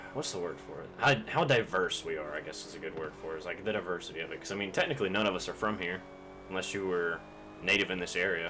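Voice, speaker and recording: Speech comes at a very fast pace with ordinary pitch variation, big swings in loudness and a slight Southern US accent. Noticeable background noise and audible room echo are present. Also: man, very deep, low pitch for a man. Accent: Southern US, slightly country. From US South, Kentucky. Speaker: video game streamer. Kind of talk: casual gaming live-stream chat. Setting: live stream with face cam. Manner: casual, rambling with many fillers.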